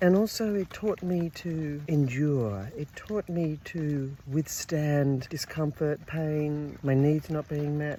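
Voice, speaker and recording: This woman's pitch is very deep and low. Her tone is dark and mellow, with ordinary pitch variation. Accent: Australian. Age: 60s. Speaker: women's circle facilitator. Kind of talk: personal vlog. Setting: outdoors.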